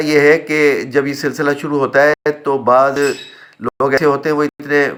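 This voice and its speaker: This man's voice sits at a fairly high pitch. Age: 60s. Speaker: retired community member, vlogger. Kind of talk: personal vlog monologue. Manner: hesitant with filler sounds.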